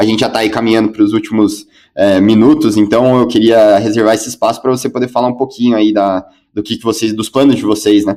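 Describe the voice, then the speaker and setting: This man talks at a very fast pace in a flat, monotone intonation. His voice sits at a medium pitch with a dark, mellow tone. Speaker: co-host, commercial director. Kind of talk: live stream interview. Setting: at home.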